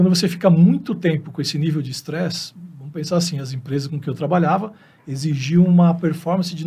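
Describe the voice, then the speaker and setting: A man speaks at a moderate pace in a high voice. His pitch varies in an ordinary way. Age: 50s. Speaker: veterinarian. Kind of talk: interview.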